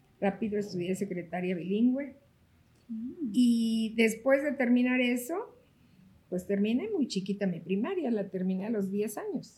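A woman speaks in a somewhat breathy voice with a dark, mellow tone. Her pace is fairly slow. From Mexico, Oaxaca. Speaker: real estate broker and association president. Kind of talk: interview.

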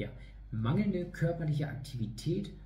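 Somewhat breathy, with a dark, mellow tone, a man speaks in a room with audible echo. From northern Germany, East Frisia (Leer). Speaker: fitness trainer. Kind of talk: online lecture. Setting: online video talk.

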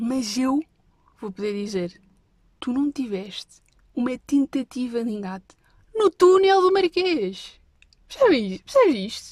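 A high-pitched woman with very wide pitch swings at a fairly slow pace, long, frequent pauses, dry and close with no echo. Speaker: podcast host. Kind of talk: casual storytelling monologue. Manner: animated.

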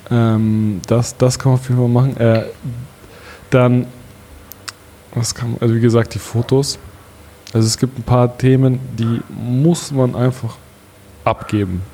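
Over noticeable background noise, a man with a medium pitch speaks at a fairly slow pace, using fairly even intonation and long, frequent pauses. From Bavaria, Allgäu (Kaufbeuren). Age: 30s. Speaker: startup founder, e-commerce entrepreneur. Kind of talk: podcast interview.

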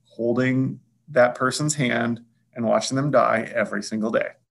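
A man at a moderate pace with a Midwestern American accent. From eastern Iowa. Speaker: hospital administrator. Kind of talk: interview conversation.

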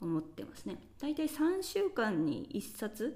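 High in pitch, a woman's voice carries a dark, mellow tone. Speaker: podcast host. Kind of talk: solo monologue podcast. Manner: casual, many fillers.

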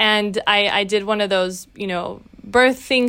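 The recording is very clean, with a silent background. A woman speaks at a fairly high pitch in a bright, sharp tone, her intonation fairly even. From Brazil, raised in Latin America and the US. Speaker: tech nonprofit executive and new mother. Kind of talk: interview. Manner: halting.

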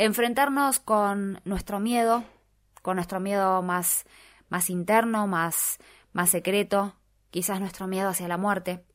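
At a very slow pace, a woman talks at medium pitch with fairly even intonation, in a very clean recording with a silent background. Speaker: radio host. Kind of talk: radio talk show.

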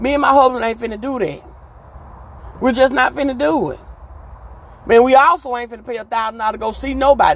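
Over noticeable background noise, a woman talks at a very fast pace with fairly high pitch. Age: 40s. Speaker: podcast host. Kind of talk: casual monologue. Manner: animated.

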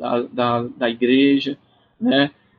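A man with a fairly high-pitched voice. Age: 20s. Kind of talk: interview conversation.

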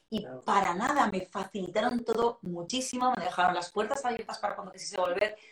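A woman at a medium pitch rushes along at a very fast pace with hardly any pauses and big swings in loudness, over noticeable background noise. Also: ordinary pitch variation. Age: 40s. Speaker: sales and emotional intelligence trainer. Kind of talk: casual interview.

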